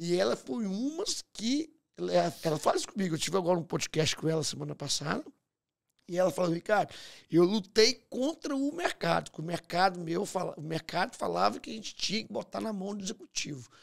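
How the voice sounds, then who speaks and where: The background is quiet as a man talks at a fairly quick pace. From Brazil, Minas Gerais. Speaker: podcast host and entrepreneur; podcast host. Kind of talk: interview conversation. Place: studio. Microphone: studio mic.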